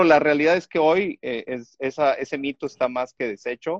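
A man with a normal speaking voice talks at a moderate pace and a fairly high pitch, with ordinary pitch variation. The sound is dry and close with no echo. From Mexico, Chiapas. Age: 50s. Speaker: software and digital transformation consultant. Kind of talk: casual chat.

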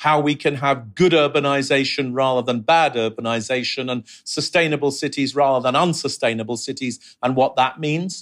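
This man has a London accent. Behind him the background is silent, and the recording is very clean. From London, England. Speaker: urbanist and professor. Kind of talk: interview.

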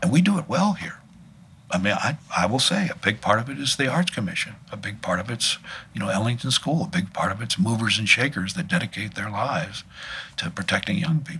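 Against noticeable background noise, a man with an American accent talks at a fairly quick pace and a medium pitch, his voice making very wide pitch swings. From Washington, DC. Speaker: artist and arts organizer. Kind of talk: interview. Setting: studio. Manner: halting.

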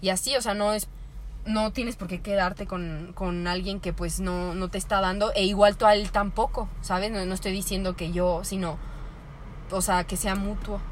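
The intonation stays monotone and flat, with audible room echo around it. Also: woman, medium pitch for a woman, moderate pace. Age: 20s. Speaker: podcast co-host. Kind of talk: casual chat.

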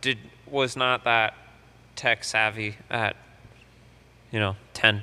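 A man in a bright, sharp tone speaks very slowly with monotone, flat intonation and long, frequent pauses. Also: medium pitch for a man. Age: 20s. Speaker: podcast co-host. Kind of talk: casual chat.

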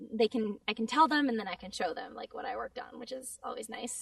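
At a fairly quick pace, a woman speaks. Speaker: voice actor. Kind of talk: casual interview chat. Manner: animated, frequent laughs and fillers.

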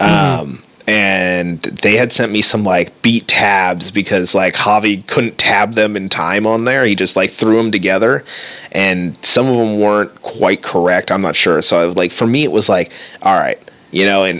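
Over noticeable background noise, a man speaks at a fairly low pitch. His pace is moderate, with ordinary pitch variation. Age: 30s. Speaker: podcast co-host, guitarist. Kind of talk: casual chat.

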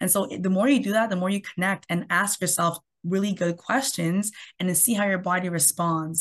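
A woman's somewhat breathy, medium-pitched voice with a Canadian accent, fairly quick with ordinary pitch variation, over a quiet background. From Canada. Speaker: health coach. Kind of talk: interview.

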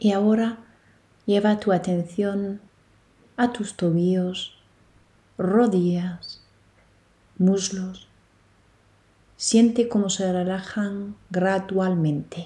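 A woman speaks at a very slow pace with long, frequent pauses, her somewhat breathy, dark, mellow voice soothing and calm in tone, the intonation fairly even. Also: medium pitch for a woman. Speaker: yoga nidra guide. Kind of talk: guided meditation. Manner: slow, soothing, calm; gentle, hushed, long pauses between cues.

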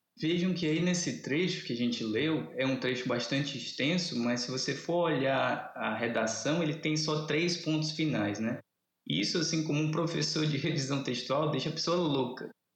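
The speech runs at a moderate pace with very even loudness and ordinary pitch variation. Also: man, fairly high pitch for a man. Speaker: literature professor. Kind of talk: casual interview. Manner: animated.

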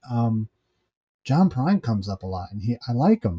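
A man at medium pitch has a dark, mellow, somewhat breathy tone, recorded dry and close with no echo, on a very clean recording with a silent background. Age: 50s. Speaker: podcast co-host. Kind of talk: casual chat.

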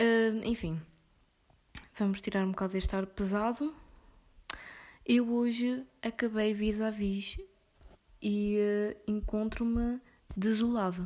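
A woman with a European Portuguese accent speaks at a very slow pace with long, frequent pauses. Her voice is fairly high and dark and mellow in tone, with fairly even intonation. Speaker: podcaster. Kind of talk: casual monologue.

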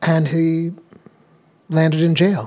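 Heard over noticeable background noise, a man talks at a fairly high pitch. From New Hampshire, US. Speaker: actor. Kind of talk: interview.

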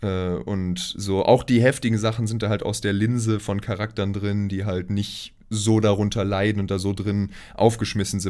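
Recorded very cleanly against a silent background, a man speaks in a flat monotone. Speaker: podcast co-host. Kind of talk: casual chat. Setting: recording in the same room, single shared mic.

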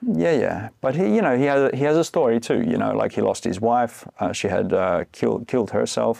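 A man talks at a fairly quick pace with hardly any pauses and very even loudness. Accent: Australian. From Australia. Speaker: breathwork and cold exposure coach. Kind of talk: podcast interview.

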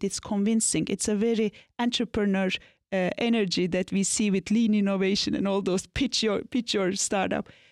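Fairly even intonation at a moderate pace from a woman, in a very clean, dry, close recording with no echo and a silent background. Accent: Turkish. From Turkey, Anatolia. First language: Turkish. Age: 40s. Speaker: business consultant and leadership mentor. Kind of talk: interview.

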